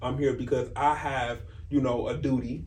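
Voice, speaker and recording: Audible room echo and noticeable background noise accompany a man who keeps a moderate pace. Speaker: faith podcast co-host. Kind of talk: casual chat. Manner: loud.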